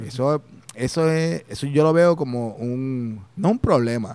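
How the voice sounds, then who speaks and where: A Puerto Rican accent at a very slow pace. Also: man. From Puerto Rico, Humacao and Las Piedras. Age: 40s. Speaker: chiropractor. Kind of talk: interview conversation.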